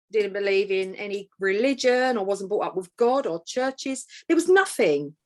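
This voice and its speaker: A woman with an East London accent at a moderate pace, medium pitch and lively intonation. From East End of London. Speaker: author and empowerment coach. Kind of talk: interview conversation.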